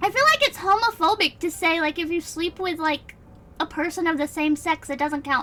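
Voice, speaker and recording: A woman with an American accent speaks at a moderate pace in an extremely high pitch, her voice raised and projected. Noticeable background noise is present. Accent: southern accent slips out. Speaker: vtuber streamer. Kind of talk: reading aloud with live commentary. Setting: live stream. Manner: casual, filler-heavy.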